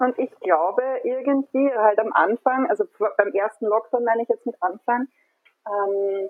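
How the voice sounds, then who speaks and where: Pitch varies in an ordinary way as an unremarkable speaking voice proceeds at a moderate pace. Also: woman. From Austria, Burgenland. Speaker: communication designer, parent. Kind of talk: casual chat. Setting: online call from home.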